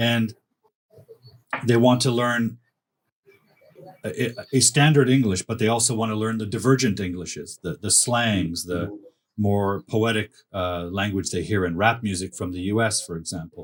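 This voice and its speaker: The speaker has a Canadian accent and ordinary pitch variation. The pace is moderate, broken by long, frequent pauses. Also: man, fairly low pitch for a man. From Canada. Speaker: academic writing coach. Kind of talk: casual chat.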